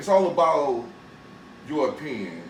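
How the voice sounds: A man speaks at a fairly slow pace with big pitch swings. Audible room echo surrounds his voice. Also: fairly high pitch for a man.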